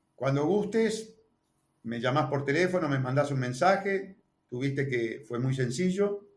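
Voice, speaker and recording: A man with a Uruguayan accent talks in a somewhat breathy voice. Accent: Uruguayan Rioplatense Spanish. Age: 60s. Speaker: presidential candidate. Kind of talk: interview.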